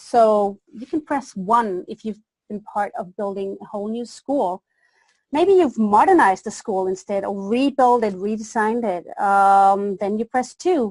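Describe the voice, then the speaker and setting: A woman's fairly slow, fairly high-pitched speech with a slight Danish accent, ordinary pitch variation, big swings in loudness and a dry, close sound with no echo. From Denmark. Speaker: education consultant. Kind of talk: webinar presentation. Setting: webinar.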